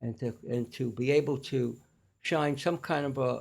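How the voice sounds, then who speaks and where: A man with a New York accent and a somewhat breathy voice. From New York (Staten Island). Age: 80s+. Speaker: clinical nutritionist. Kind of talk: interview conversation. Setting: in-person studio podcast.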